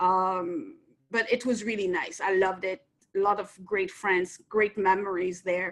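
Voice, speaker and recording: A woman with a French accent, medium in pitch and fairly slow in pace. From France, Nancy. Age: 50s. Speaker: entrepreneur. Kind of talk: interview.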